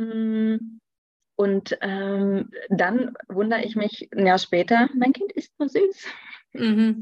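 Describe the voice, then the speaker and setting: Very slowly, a woman speaks in a somewhat breathy voice at a fairly high pitch with ordinary pitch variation, the sound dry and close with no echo. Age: 30s. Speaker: nutrition expert. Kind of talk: interview.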